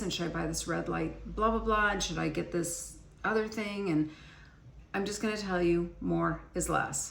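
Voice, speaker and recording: Noticeable background noise and audible room echo are both present throughout the recording. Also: woman. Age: 60s. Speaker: beauty and skincare vlogger. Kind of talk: casual chat. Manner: conversational, with frequent fillers.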